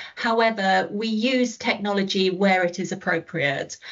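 Woman with a British accent at a fairly slow pace, against a quiet background. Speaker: school staff member. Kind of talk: webinar presentation answer. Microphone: webcam.

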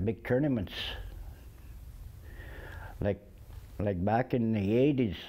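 A man speaks in a dark, mellow tone. His pitch variation is ordinary. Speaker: interviewee. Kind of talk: interview answer. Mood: warm, smiling reminiscence. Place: studio. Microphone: lapel.

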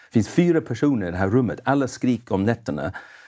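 With an English accent, a man talks at a fairly quick pace in a dark, mellow, fairly low voice, his intonation lively against a quiet background. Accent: English accent in Swedish. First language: English (speaking Swedish). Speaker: evangelist. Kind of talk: testimony. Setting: studio. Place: studio. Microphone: lapel.

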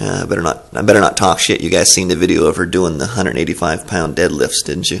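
Very fast with hardly any pauses, a man speaks in a very deep, low voice with ordinary pitch variation. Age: 30s. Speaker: tanker truck driver and fitness YouTuber. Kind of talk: casual talk to camera. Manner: casual, informal. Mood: relaxed, joking, profane. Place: gym. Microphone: phone near.

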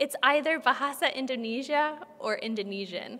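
Female voice, moderate speed, ordinary pitch variation. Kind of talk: introduction before a literary reading. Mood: warm, smiling. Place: hall. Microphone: podium.

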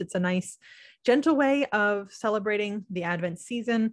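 In a quiet background, a woman with an American accent speaks at a medium pitch with ordinary pitch variation. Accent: slight to none Southern US. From US South, North Carolina. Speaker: podcast host, homeschooling mother. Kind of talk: casual monologue tutorial. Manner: hesitant, many fillers and restarts.

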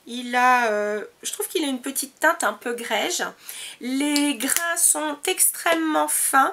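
A woman projects a raised, high voice with a bright, sharp tone. She speaks at a very slow pace with lively intonation. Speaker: beauty vlogger. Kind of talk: product review monologue. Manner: hesitant, many fillers.

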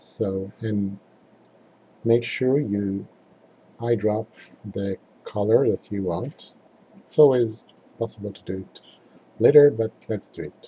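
A man with a fairly low, somewhat breathy voice and a dark, mellow tone speaks at a very slow pace, with long, frequent pauses, ordinary pitch variation and big swings in loudness. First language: not English. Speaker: tutorial presenter. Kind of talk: screen-recorded software tutorial. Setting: screen recording voiceover. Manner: halting, with fillers.

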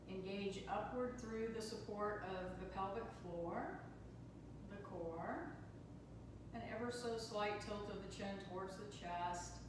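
Against noticeable background noise and strong room echo, a woman speaks at a very slow pace, her medium pitch showing ordinary variation. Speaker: yoga and meditation teacher. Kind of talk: guided meditation. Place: hall. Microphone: camera far.

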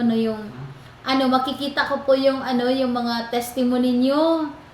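Through noticeable background noise, a woman speaks at a high pitch and a moderate pace. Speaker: online prayer program host. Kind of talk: fervent prayer and preaching. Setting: online prayer program.

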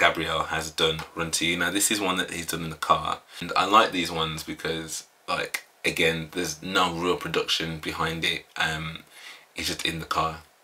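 A man speaks at a moderate pace in a very deep, low voice. His intonation stays monotone and flat. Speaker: reaction channel host. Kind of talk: casual vlog chat. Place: home room.

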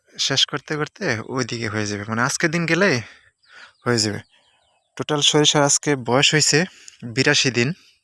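The voice has a bright, sharp tone and ordinary pitch variation, captured dry and close with no echo on a very clean recording with a silent background. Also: man, fairly high pitch for a man. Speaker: farmer and farming vlogger. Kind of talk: casual tutorial.

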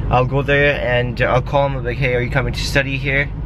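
There is noticeable background noise behind the man's voice, though the sound itself is dry with no echo. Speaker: vlogger. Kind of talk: casual vlog chat. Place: car. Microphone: phone near.

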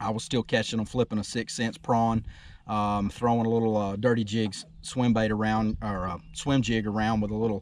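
The voice has a slightly mellow tone and little pitch movement. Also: man.

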